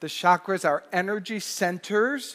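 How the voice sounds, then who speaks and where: A man talks at a fairly slow pace. The sound is dry and close with no echo. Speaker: minister. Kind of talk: church sermon. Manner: welcoming, explanatory.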